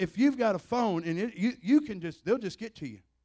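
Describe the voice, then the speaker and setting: Against a quiet background, a man with a Southern US accent talks at a very fast pace in an animated tone with lively intonation. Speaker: visiting preacher. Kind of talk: sermon, preacher in full flow, fervent charismatic delivery with call-and-response. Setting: church. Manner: animated, impassioned, emphatic, punctuated with Amens and exclamations; blunt, conversational, storytelling with vivid analogies.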